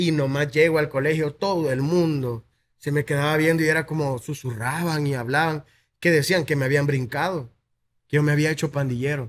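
A man with a Salvadoran accent talks at a moderate pace with fairly even intonation. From El Salvador, Soyapango; El Salvador. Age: 20s. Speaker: content creator. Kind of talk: interview. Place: studio. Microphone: studio mic.

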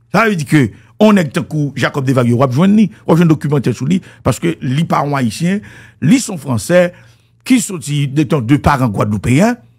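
Against a quiet background, a man with a Haitian accent speaks at a moderate pace in a somewhat breathy, fairly high voice with very wide pitch swings. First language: Haitian Creole (speaking French). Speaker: music commentator. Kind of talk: monologue commentary. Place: studio. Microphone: studio mic.

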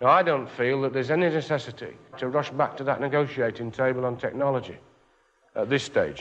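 A man with a British accent, fairly high in pitch with ordinary pitch variation, at a very fast pace over light background noise. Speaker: union official. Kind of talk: conference speech. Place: hall.

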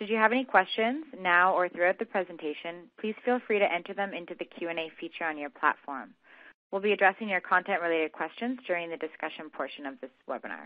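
A woman with a medium pitch. She talks at a very fast pace. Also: ordinary pitch variation. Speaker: webinar host. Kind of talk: scripted announcements. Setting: webinar audio. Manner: formal.

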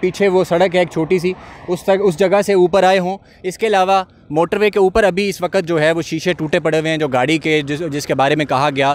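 Pitched high for a man, his voice comes at a moderate pace with fairly even intonation and a dry sound with no echo. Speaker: field news reporter. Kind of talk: on-the-spot news report. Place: street. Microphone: handheld.

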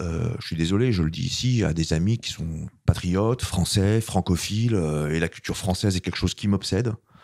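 A man's very deep, low voice at a moderate pace, with ordinary pitch variation and a quiet background. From France. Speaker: filmmaker; guest. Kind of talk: interview. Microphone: handheld.

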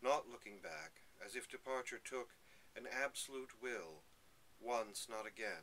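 A man speaks at medium pitch with ordinary pitch variation. His tone is bright and sharp, with light background noise. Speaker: poetry reader. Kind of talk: poetry reading aloud. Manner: slow, measured, lyrical. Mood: calm, reflective. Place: home room. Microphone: webcam.

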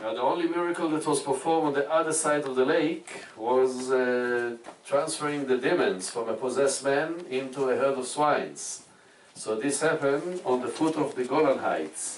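A man talks at a moderate pace with ordinary pitch variation. Light background noise and audible room echo sit behind him. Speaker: tour guide. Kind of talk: guided tour commentary. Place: boat.

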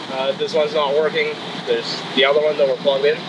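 A man is heard over noticeable background noise. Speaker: EV road trip vlogger. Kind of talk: casual vlog chat. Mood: relaxed, cheerful. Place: open country.

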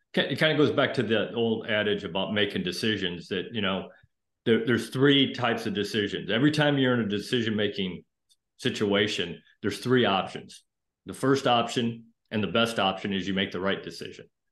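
The speech moves at a fairly quick pace with ordinary pitch variation, audible room echo, and a quiet background. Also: man. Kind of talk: interview answer. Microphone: video call.

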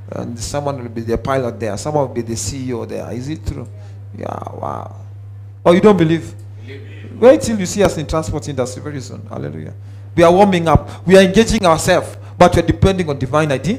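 A man speaks fairly quickly while faint music sits in the background. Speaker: preacher. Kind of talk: sermon. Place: church. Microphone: headset.

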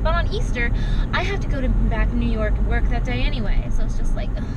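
Loud background noise surrounds a woman whose voice is recorded dry, with no echo. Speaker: vlogger. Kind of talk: casual vlog chat. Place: car. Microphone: phone near.

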